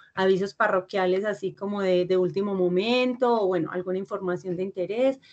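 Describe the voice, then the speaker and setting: A woman with a Paisa accent at a fairly quick pace, with fairly even intonation. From Colombia, Antioquia (Fredonia). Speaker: university teacher. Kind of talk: online lecture. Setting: video call class. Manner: fast.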